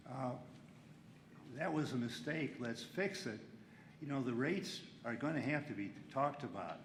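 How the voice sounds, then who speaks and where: A moderate pace with audible room echo. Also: man. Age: 80s+. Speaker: local elected official. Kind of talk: public meeting discussion. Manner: halting.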